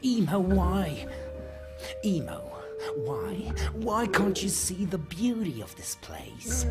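A put-on character voice speaks at a very slow pace over loud music in the background. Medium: audio drama. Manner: stern, lecturing, increasingly fervent.

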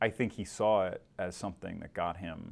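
A man speaks with an American accent at a moderate pace. His very deep, low voice keeps a fairly even intonation. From Michigan. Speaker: newspaper political reporter. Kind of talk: interview conversation. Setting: studio. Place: studio.

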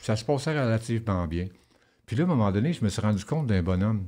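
Against a quiet background, a man speaks at a fairly quick pace. His tone is dark and mellow, with ordinary pitch variation. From Quebec (Rouyn-Noranda, Abitibi; also Saguenay-Lac-Saint-Jean); Quebec. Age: 50s. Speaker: former prisoner; guest. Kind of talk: interview testimony. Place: studio. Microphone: studio mic.

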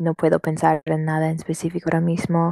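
The speaker is a woman. She has an English accent. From US, Washington state. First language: English (speaking Spanish). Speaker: customer service worker, Spanish learner. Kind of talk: casual conversation practice. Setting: internet call. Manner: halting.

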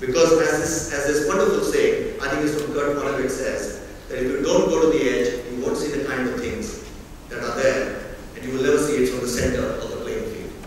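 Against light background noise and strong room echo, a man speaks at a fairly quick pace. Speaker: keynote speaker. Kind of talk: keynote speech. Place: hall.

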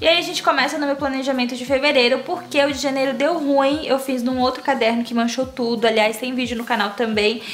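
A woman's high voice moves at a fairly quick pace with ordinary pitch variation, over background music and audible room echo. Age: 20s. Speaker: youtuber. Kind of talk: casual tutorial vlog.

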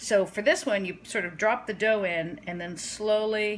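A woman speaking at a fairly slow pace over light background noise. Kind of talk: casual cooking tutorial. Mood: light, self-deprecating humor. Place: kitchen. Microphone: phone near.

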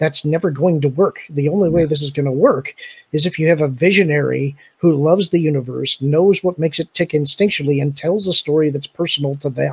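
Speaking at a fairly quick pace, a man sounds somewhat breathy. His pitch is fairly high and his intonation fairly even. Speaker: fan podcaster. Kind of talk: casual chat. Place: home room. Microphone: studio mic.

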